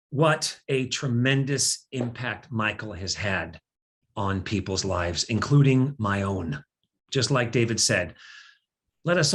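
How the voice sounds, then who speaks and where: A somewhat breathy man of medium pitch at a moderate pace, with lively intonation over a quiet background. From US Pacific Northwest. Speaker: event host. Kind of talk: fundraising appeal.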